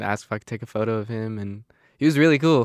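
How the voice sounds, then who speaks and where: A man with an American accent speaks at a fairly quick pace in a normal speaking voice, medium in pitch, on a very clean recording with a silent background. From Arizona. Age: young. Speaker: photographer and cinematographer. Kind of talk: casual chat.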